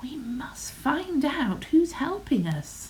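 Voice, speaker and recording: A woman uses a put-on character voice, high in pitch with very wide pitch swings. She speaks at a very slow pace over clear background noise. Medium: read story.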